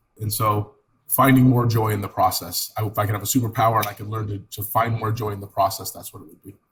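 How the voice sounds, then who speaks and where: A man's fairly low voice with an American accent, very fast and monotone with flat intonation, with big swings in loudness. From California, Italian family. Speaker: real estate team leader. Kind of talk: podcast interview.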